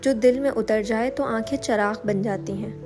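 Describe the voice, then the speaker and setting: Music plays behind a woman whose fairly high voice shows ordinary pitch variation. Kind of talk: poetic prose reading.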